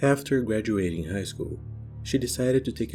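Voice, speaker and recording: A man with a Brazilian accent speaks at a fairly quick pace in a very deep, low, somewhat breathy voice with a dark, mellow tone and very wide pitch swings. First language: Portuguese. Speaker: true crime YouTuber. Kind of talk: true crime narration.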